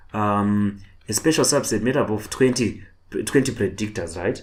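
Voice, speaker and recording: Somewhat breathy, a man talks at a moderate pace. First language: not English. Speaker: online tutor. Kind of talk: lecture. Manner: halting, repetitive.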